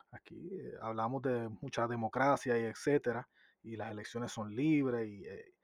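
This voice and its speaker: A man with an unremarkable speaking voice talks at a moderate pace and medium pitch, with ordinary pitch variation, a quiet background and a dry, close sound with no echo. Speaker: podcast co-host. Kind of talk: interview.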